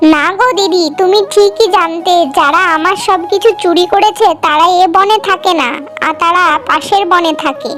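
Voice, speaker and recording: A cartoonish character voice moves at a moderate pace, with clear background noise behind it. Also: female-sounding voice, extremely high pitch for a woman. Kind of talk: cartoon fairy-tale acting.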